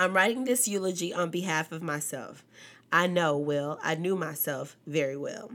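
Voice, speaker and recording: Speaking in a fairly low pitch, a woman talks at a moderate pace with ordinary pitch variation. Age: 20s. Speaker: podcast host. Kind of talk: mock self-eulogy, dictating her own funeral speech. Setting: home recording at a table. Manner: profane, brash and defiant, half-joking about her own death; rambling, repetitive, casual with filler phrases.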